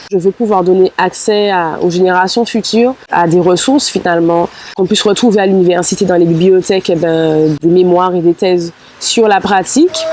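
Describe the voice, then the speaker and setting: A woman speaks at a moderate pace and medium pitch, with ordinary pitch variation. Her loudness stays very even over noticeable background noise. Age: 20s. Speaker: musician and doctoral student. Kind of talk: interview testimony. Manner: hesitant, many fillers.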